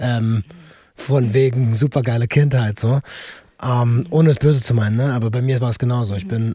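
A man's medium-pitched, somewhat breathy voice with a dark, mellow tone and fairly even intonation. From Berlin. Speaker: podcast co-host. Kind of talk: casual chat.

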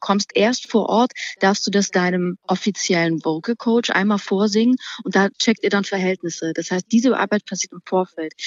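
A woman with a normal speaking voice shows ordinary pitch variation and big swings in loudness. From Thuringia, eastern Germany. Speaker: singer. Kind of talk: casual chat.

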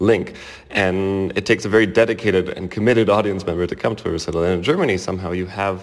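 Very deep and low, a man's voice rushes at a very fast pace with fairly even intonation. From Canada. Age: 20s. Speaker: concert pianist. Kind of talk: interview.

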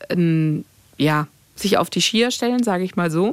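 A woman speaks at a fairly slow pace. She has an ordinary speaking voice with a medium pitch. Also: dry, close sound with no echo. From Greece. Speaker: radio host. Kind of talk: casual chat.

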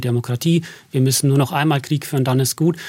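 A man with a slight Bavarian accent, medium in pitch, somewhat breathy, at a fairly quick pace. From Bavaria, Berchtesgaden. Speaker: propaganda researcher. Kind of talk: radio interview.

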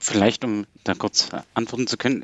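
A man speaks at a moderate pace in an ordinary speaking voice. His pitch is medium, and his intonation is fairly even. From Saxony, Germany. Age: young. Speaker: philosopher and political scientist. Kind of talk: radio panel discussion.

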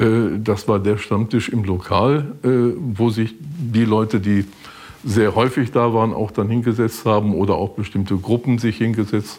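A man speaks in a normal speaking voice at a fairly slow pace. The intonation is fairly even. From Westphalia (eastern). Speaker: former regular guest of the restaurant. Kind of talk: interview.

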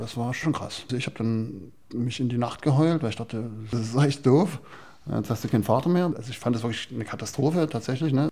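A dark, mellow tone carries this somewhat breathy voice. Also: man, medium pitch for a man, ordinary pitch variation, fairly quick pace. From Saxony, Chemnitz. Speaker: doctor. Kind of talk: interview testimony.

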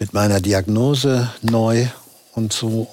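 Against noticeable background noise, a man speaks very slowly with fairly even intonation. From Berlin, Germany. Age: 60s.

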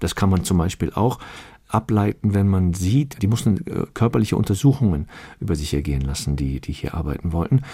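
His pace is moderate. The man's tone is dark and mellow. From Cologne, Germany. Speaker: cabaret artist and actor. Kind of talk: radio interview.

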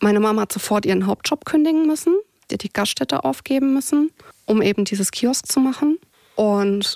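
A woman speaks at medium pitch and a moderate pace in an unremarkable speaking voice. Her intonation is lively, and the sound is dry and close with no echo. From southwestern Germany, near Heidelberg. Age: 30s. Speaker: insurance claims worker. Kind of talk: podcast interview, personal life story.

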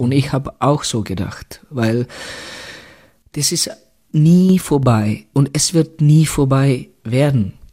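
Speaking very slowly in a Czech accent, a man uses a fairly high pitch with ordinary pitch variation. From Czech Republic, Litvínov. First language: Czech (speaking German). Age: 40s. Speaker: former ice hockey player and coach. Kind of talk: interview. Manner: halting.

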